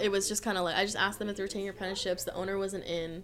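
A woman speaks with an American accent. Her pitch is medium and her intonation fairly even. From Southern California (Orange County). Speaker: tattoo artist. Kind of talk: casual chat.

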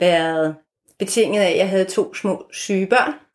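In a very clean recording with a silent background, a woman in an ordinary speaking voice talks at a fairly slow pace with medium pitch and fairly even intonation. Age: 50s. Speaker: author and former marketing executive. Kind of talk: interview conversation.

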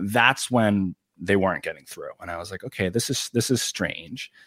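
The recording of a man talking at a moderate pace is dry and close, with no echo. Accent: New York. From Long Island, New York. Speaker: YouTuber and political writer. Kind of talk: casual interview.

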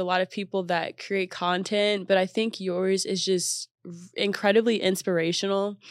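With an American accent, a woman speaks at a moderate pace and medium pitch in a monotone, flat intonation. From Texas. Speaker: podcast host. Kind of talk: casual interview chat; scripted intro.

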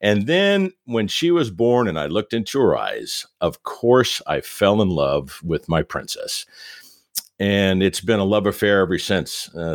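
With very wide pitch swings, a man talks at a moderate pace. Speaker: radio host and parenting educator. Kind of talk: casual interview.

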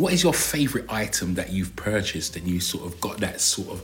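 A man's fairly low voice with lively intonation and a South London accent, amid noticeable background noise and audible room echo. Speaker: podcast co-host. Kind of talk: casual chat.

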